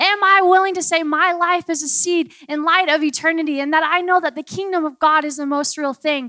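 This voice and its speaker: Raised and projected, a woman's extremely high-pitched voice carries a bright, sharp, animated tone at a moderate pace with ordinary pitch variation. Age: 20s. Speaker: preacher. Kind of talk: sermon.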